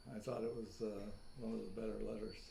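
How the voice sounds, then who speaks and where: Audible room echo surrounds a man with an American accent. His dark, mellow tone carries vocal fry and ordinary pitch variation. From US. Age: 90s. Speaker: author. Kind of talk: casual interview chat.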